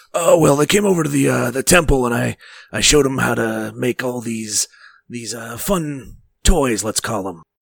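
A raspy, put-on character voice from a man, medium in pitch, at a moderate pace.

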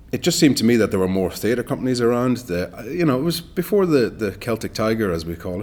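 A man with a Donegal accent, in a very clean recording with a silent background. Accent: Donegal Irish. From Ireland, rural Donegal. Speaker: actor. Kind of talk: casual interview. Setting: studio.

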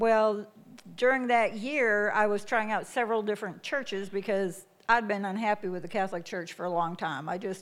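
A woman with an American accent, a plain, everyday voice, a medium pitch and a moderate pace. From US Midwest. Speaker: missionary. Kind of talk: testimony. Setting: church.

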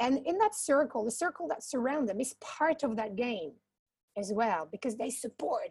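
A woman at a moderate pace, high in pitch, with lively intonation. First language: non-English. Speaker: community founder for social entrepreneurs. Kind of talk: panel discussion. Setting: online webinar. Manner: halting.

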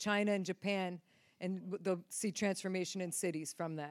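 Speaking at a fairly quick pace, a woman with an American accent has an ordinary speaking voice and fairly even intonation. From upstate New York. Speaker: ministry team member. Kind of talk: prophetic words. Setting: church stage with audience.

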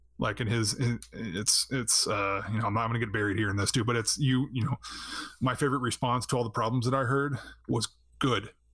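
A man with a normal speaking voice talks at a fairly quick pace in a medium pitch. His intonation is fairly even and his loudness very even. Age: 30s. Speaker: streamer and former announcer. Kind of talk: casual chat.

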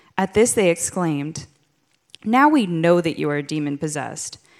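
With a plain, everyday voice, a woman speaks at a fairly low pitch with lively intonation in a very clean recording with a silent background. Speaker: scripture reader. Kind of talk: reading scripture aloud.

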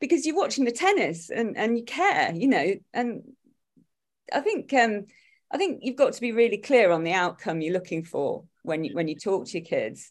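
A woman speaks with an East Midlands accent at a moderate pace and a fairly high pitch. The recording is very clean, with a silent background. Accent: Derby East Midlands English. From Derby, England. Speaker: tennis parent, Facebook group admin. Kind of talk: casual interview.

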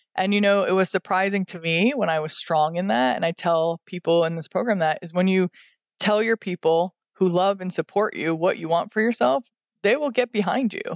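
In a normal speaking voice with an American accent, a woman talks at medium pitch and a fairly quick pace, with ordinary pitch variation, recorded dry and close with no echo over a quiet background. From upstate New York. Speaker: gym owner and fitness trainer. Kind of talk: casual interview chat.

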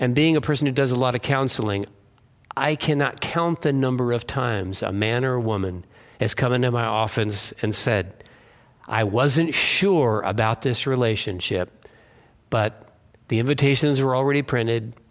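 This is a plain, everyday voice at a moderate pace. Its loudness stays very even, with ordinary pitch variation. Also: man. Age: 60s. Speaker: pastor. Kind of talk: sermon.

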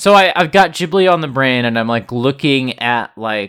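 A man with an ordinary speaking voice talks at a medium pitch with lively intonation, in a very clean recording against a silent background. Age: 30s. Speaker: podcast host. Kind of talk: casual chat.

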